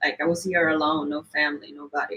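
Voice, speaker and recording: A woman is speaking. She has an Italian accent. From Italy. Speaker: model and activist. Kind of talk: interview.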